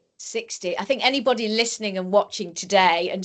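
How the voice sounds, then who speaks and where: The background is quiet. A woman speaks with an English accent at a medium pitch. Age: 50s. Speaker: podcast host and stand-up comedian. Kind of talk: interview conversation.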